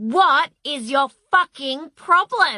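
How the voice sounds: A woman puts on a character voice with very wide pitch swings, recorded in a dry, close sound with no echo.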